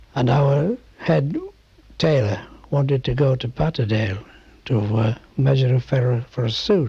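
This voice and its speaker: Very slow and somewhat breathy, a man's voice has a dark, mellow tone at a fairly high pitch. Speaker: oral history interviewee. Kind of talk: oral history interview answer. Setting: interview recording.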